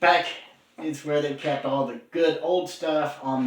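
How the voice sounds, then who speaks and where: A man speaks at a fairly slow pace with noticeable background noise behind him. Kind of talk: casual podcast-style talk with co-host.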